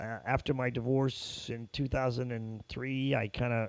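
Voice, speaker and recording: The speaker uses an American accent, talking at a fairly slow pace with monotone, flat intonation. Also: man. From New York (Brooklyn, Long Island). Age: 60s. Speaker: ticket business owner. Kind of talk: casual interview chat.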